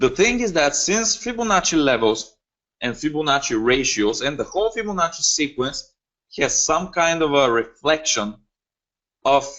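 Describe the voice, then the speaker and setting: A man with a Bulgarian accent, fairly high-pitched, with very wide pitch swings and a moderate pace. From Bulgaria (Varna). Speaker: forex trading educator. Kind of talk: webinar lecture. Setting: online webinar. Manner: hesitant, many fillers.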